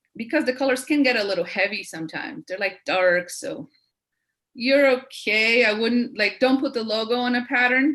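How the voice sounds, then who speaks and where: A woman with a non-native accent talks at a moderate pace in a fairly high, bright, sharp voice with ordinary pitch variation. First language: not English. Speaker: branding expert, webinar speaker. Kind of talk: Q&A session in webinar.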